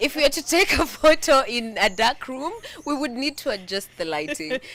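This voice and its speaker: Amid noticeable background noise, a woman speaks at a moderate pace. Her high pitch moves in very wide swings. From Kenya. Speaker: web series host. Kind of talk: casual conversation.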